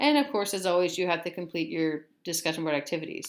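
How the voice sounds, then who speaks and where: A woman is speaking. She keeps a fairly quick pace. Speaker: philosophy professor. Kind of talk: lecture. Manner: halting, stumbling over words.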